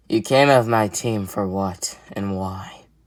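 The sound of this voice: In a put-on character voice, someone hisses at a low pitch and a fairly slow pace.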